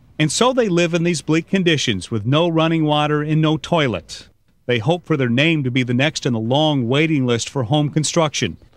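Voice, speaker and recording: A normal speaking voice with lively intonation. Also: man. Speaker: TV news anchor, voice-over narrator. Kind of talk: documentary voice-over narration. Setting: studio.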